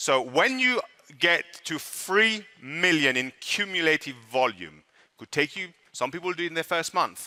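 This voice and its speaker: A man with a French accent speaks fairly slowly in a fairly high voice, his pitch swinging very widely. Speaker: network marketing presenter. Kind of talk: sales pitch. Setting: stage with audience.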